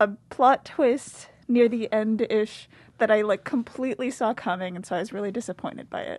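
Her voice is a normal speaking voice, fairly high-pitched for a woman, moving at a moderate pace with ordinary pitch variation and big swings in loudness. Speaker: college student guest. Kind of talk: casual chat.

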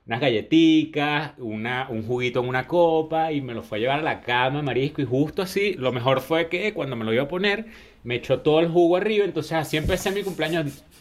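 An ordinary speaking voice from a man with a fairly high pitch moves at a fairly quick pace with hardly any pauses and lively intonation. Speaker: podcast co-host. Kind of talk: casual chat.

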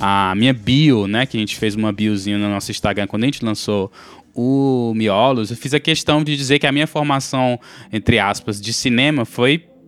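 A man with a normal speaking voice keeps a medium pitch, ordinary pitch variation and a moderate pace. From Brazil. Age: 30s. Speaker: podcast co-host. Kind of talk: casual chat.

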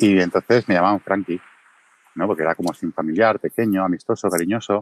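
A man's very deep, low voice with ordinary pitch variation at a moderate pace, dry and close with no echo. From Catalonia, Mataró. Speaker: video creator. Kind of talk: casual chat. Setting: Twitter Space audio room.

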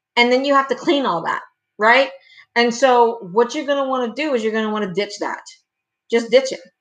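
A fairly quick pace broken by long, frequent pauses, with ordinary pitch variation and a quiet background. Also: woman, high pitch for a woman. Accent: Cajun. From Louisiana, Cajun. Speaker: wedding planner. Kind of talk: casual live stream talk. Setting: home live stream on webcam. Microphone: laptop webcam audio.

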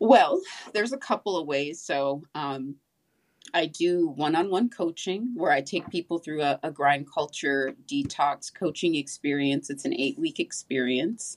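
Speaking at a fairly slow pace with lively intonation, a woman with an American accent has a very deep, low pitch. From Southern California. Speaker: author and wellness coach. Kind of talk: interview.

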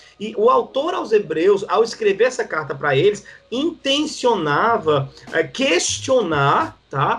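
A man speaks at a high pitch with very wide pitch swings. His pace is very slow. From Northeast Brazil (João Pessoa, Paraíba). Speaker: pastor. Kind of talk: podcast interview, teaching. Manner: halting, many fillers.

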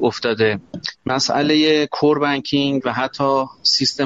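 At a very slow pace, a man talks in a medium pitch. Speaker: banking tech company CEO. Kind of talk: live panel discussion.

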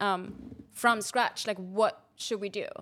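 A woman with a German accent speaks at a very slow pace with fairly even intonation. The recording is very clean, with a silent background. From Austria. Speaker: photography company manager. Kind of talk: casual chat. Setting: studio.

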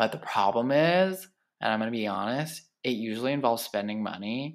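On a very clean recording with a silent background, a man talks at a medium pitch and moderate pace with ordinary pitch variation. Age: 20s. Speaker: podcast host. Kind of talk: solo casual monologue. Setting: home living room. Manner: rambling.

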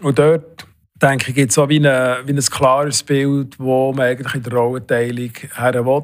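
The man's medium-pitched voice moves at a moderate pace with monotone, flat intonation. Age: 60s. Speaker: head of national eHealth coordination office. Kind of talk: interview.

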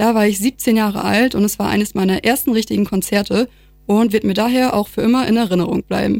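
A woman at a very fast pace, with fairly even intonation, very even loudness, and a dry, close sound with no echo. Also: medium pitch for a woman. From Lower Saxony, Vechta district. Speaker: student radio presenter. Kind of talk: radio presenting.

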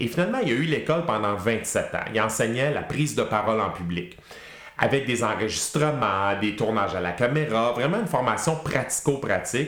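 Lively in intonation and medium in pitch, a man talks at a moderate pace with audible room echo and noticeable background noise. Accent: Quebec. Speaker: public speaking trainer and former radio host. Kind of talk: casual interview chat.

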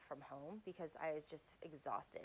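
A woman speaks at a moderate pace in a fairly low pitch with a normal speaking voice. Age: 30s. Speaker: podcast host and life coach. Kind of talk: solo monologue podcast.

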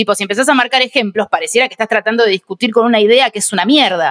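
The recording is dry and close with no echo as a woman with a Rioplatense accent speaks at a fairly high pitch. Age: 30s. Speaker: comedian. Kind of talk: casual chat.

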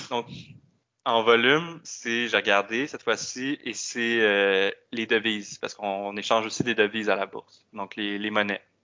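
Speaking fairly slowly with a Quebec accent, a man keeps his medium-pitched voice fairly even in intonation. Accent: Québécois French. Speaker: economist. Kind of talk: casual interview.

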